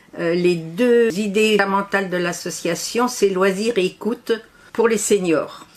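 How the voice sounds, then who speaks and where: Noticeable background noise sits behind a woman of medium pitch. She talks at a fairly slow pace with fairly even intonation. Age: 80s+. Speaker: association volunteer representative. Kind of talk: interview. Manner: hesitant.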